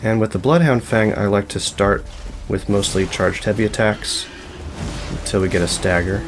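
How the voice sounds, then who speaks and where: Over music in the background, a man with a fairly low pitch talks at a moderate pace, keeping very even loudness and ordinary pitch variation. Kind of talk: soft-spoken gaming tutorial narration, relaxed commentary over gameplay. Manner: soft-spoken, relaxed, calm.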